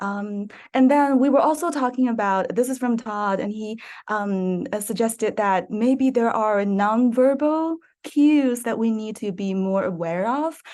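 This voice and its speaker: Over a quiet background, a woman with a non-native accent speaks fairly slowly in a fairly high pitch with ordinary pitch variation. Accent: foreign. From East Asia. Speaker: teacher, workshop participant. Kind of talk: workshop discussion. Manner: hesitant, many fillers.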